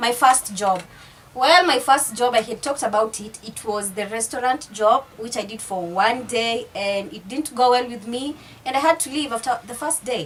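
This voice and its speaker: A moderately paced voice with an East African accent, ordinary pitch variation and big swings in loudness over noticeable background noise. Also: woman, high pitch for a woman. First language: Swahili. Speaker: YouTuber. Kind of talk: casual vlog chat.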